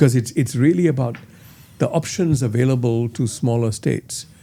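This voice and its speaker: A man's somewhat breathy, medium-pitched voice with lively intonation. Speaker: interviewer, editor. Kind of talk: interview questions.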